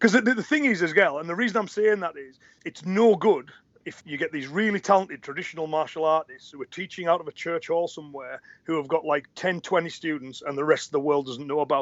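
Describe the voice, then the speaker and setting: A high-pitched man at a very fast pace, with big swings in loudness and ordinary pitch variation. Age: 40s. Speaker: karate instructor. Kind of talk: interview.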